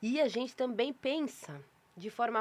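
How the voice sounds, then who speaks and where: Here a woman speaks at a fairly slow pace. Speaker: podcast host and publisher. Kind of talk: casual interview intro. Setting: podcast studio with cameras. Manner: slow, deliberately paused.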